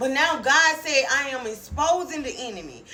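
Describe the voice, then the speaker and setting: Over noticeable background noise and audible room echo, a woman uses a raised, projected voice with a high pitch and an animated tone. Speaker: online preacher. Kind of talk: prophetic sermon.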